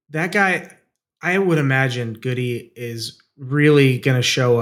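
A man speaks in an unremarkable speaking voice at a medium pitch, with lively intonation and a fairly slow pace, on a very clean recording with a silent background. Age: 40s. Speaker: aviation podcast co-host, aerobatic pilot. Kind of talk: casual chat.

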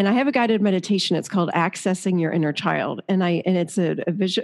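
A woman uses a normal speaking voice at a fairly low pitch with ordinary pitch variation over a quiet background. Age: 50s. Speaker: therapist and author. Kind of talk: interview conversation.

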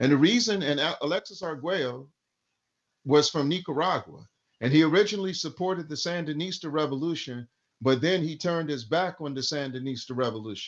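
Fairly high in pitch, the man has an unremarkable speaking voice with ordinary pitch variation. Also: fairly quick pace. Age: 50s. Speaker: activist. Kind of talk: interview. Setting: remote call.

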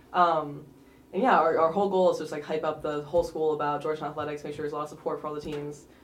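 The speech races along very fast with flat, monotone intonation. Room echo is audible. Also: woman. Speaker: student club president. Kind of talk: interview.

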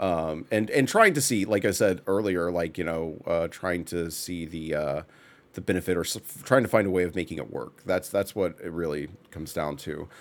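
A man with an American accent speaks at a moderate pace. His voice is very deep and low. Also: ordinary pitch variation. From Texas. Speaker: podcast host, game studio artist. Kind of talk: casual chat.

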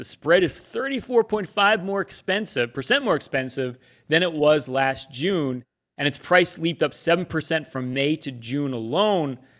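With a very clean recording and a silent background, a man in an unremarkable speaking voice talks at a moderate pace, his pitch fairly high and his intonation lively. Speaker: financial advisor podcast host. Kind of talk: casual chat.

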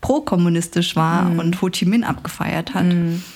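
In an unremarkable speaking voice, a woman of medium pitch talks at a moderate pace with fairly even intonation. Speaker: journalist and author. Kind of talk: interview conversation.

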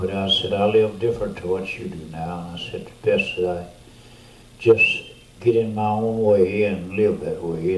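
In a Louisiana accent, a man with a fairly low pitch talks at a moderate pace amid audible room echo and noticeable background noise. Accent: Louisiana Southern US. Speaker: veteran preacher. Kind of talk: storytelling testimony.

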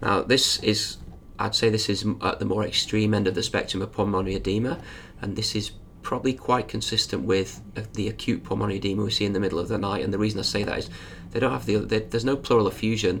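A man with a fairly low pitch and fairly even intonation speaks at a very fast pace, with noticeable background noise present. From northern England. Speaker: emergency doctor. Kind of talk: medical teaching; casual chat.

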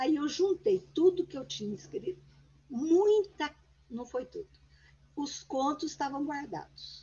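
A woman with a high pitch speaks at a fairly slow pace, with long, frequent pauses, big swings in loudness and very wide pitch swings. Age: 80s+. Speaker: author and retired teacher. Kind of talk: interview conversation.

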